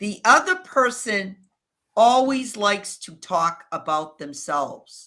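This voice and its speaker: Very slowly, a woman with a New England accent speaks in a medium-pitched, bright and sharp voice with very wide pitch swings. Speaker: video strategist. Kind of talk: interview.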